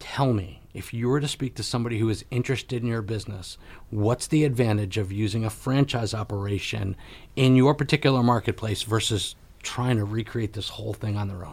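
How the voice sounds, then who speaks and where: Someone talks at a fairly quick pace, somewhat breathy and with fairly even intonation, on a very clean recording with a silent background. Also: man, medium pitch for a man. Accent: American. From Connecticut. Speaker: radio talk show host. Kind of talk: interview.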